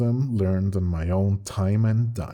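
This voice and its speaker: Music plays in the background as a man speaks at a fairly slow pace in a fairly low voice. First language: Spanish. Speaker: animator and channel owner. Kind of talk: channel update monologue.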